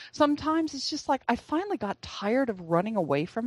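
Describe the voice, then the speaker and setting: Recorded dry and close with no echo, a woman with a high voice talks fairly quickly. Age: 60s. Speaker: author and speaker. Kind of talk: interview.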